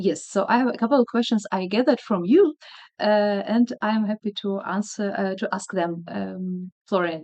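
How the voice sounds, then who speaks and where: A woman with a Slavic accent, medium in pitch, at a moderate pace with ordinary pitch variation. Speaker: video blogger, blood cancer patient. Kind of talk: casual interview. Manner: hesitant, many fillers.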